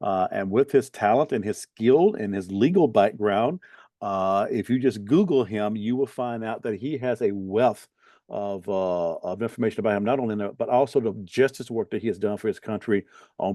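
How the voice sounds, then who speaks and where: A man with a Southern Alabama accent and a dark, mellow tone speaks at a fairly quick pace over a quiet background. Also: fairly low pitch for a man, ordinary pitch variation, dry, close sound with no echo. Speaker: bishop and talk show host. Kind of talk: interview.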